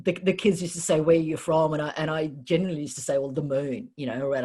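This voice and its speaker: A woman's very deep, low voice at a very fast pace, with ordinary pitch variation. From New Zealand (Wellington), born in Kiev. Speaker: entrepreneur and business coach. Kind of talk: casual interview conversation. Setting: podcast. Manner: hesitant, many fillers.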